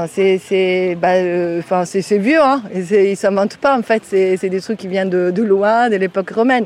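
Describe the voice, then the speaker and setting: A woman with an Italian accent speaks at a very slow pace. Her pitch is medium. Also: ordinary pitch variation. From Italy. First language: Italian (speaking French). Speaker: volunteer gardener, Italian teacher. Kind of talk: field interview. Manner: animated.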